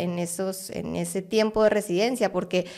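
A woman with a slight Guatemalan accent against a quiet background. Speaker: art curator; podcast guest. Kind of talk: interview conversation. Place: studio. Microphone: studio mic.

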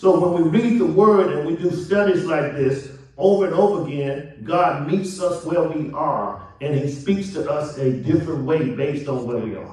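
This man's fairly high voice has an animated tone and ordinary pitch variation, with hardly any pauses. Noticeable background noise runs underneath. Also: moderate pace. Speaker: preacher. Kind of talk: sermon. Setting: church. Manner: animated, call-and-response preaching with rhetorical questions and repetition.

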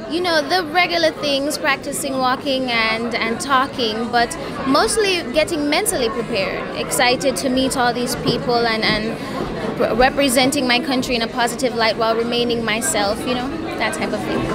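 A woman at a moderate pace with hardly any pauses, under loud background noise. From Jamaica. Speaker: beauty pageant contestant. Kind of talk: interview answer. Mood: warm, upbeat. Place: hall. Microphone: handheld.

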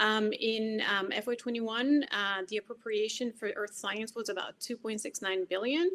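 A woman speaks at a fairly high pitch and a very slow pace, with ordinary pitch variation and hardly any pauses. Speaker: science agency program manager. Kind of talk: conference presentation. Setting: video call. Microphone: video call.

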